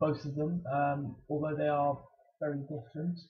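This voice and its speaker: Here a man talks with an English accent. His pace is fairly slow. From England, Bristol. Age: 20s. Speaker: student athlete vlogger. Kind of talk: casual vlog Q&A. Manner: halting, many fillers and repeats.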